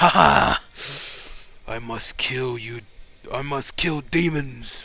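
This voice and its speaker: Using a put-on character voice, a man with medium pitch speaks at a very slow pace. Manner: aggressive, manic, shouting.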